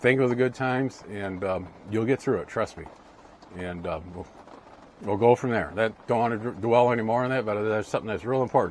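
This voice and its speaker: A man's voice sits at a medium pitch with fairly even intonation. He talks at a fairly quick pace. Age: 60s. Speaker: ham radio and RV vlogger. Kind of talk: casual monologue giving life advice. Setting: indoors, rain on the roof. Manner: halting, many fillers.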